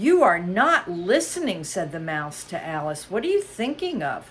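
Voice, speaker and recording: Someone uses a put-on character voice. It sits at a middle pitch. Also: moderate pace. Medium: read story. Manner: indignant.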